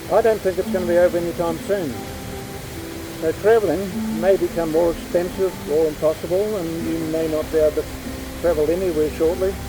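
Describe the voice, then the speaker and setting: A fairly quick pace with long, frequent pauses and ordinary pitch variation, over music in the background. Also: man, high pitch for a man. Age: 80s+. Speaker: artist and narrator. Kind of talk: casual talk to camera.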